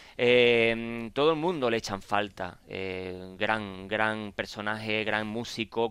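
On a very clean recording with a silent background, a man with an Andalusian accent speaks at a medium pitch in a bright, sharp tone. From Cádiz, Andalusia. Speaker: radio host. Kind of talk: radio interview.

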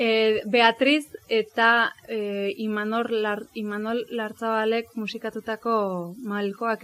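Fairly high female voice in a monotone, flat intonation. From Astigarraga, Gipuzkoa, Basque Country. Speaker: pianist. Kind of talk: talk at book presentation. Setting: live event with audience.

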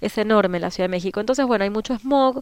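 A woman's fairly high voice, very fast, with an Argentine accent. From Argentina. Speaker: permaculture association organizer. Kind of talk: radio interview.

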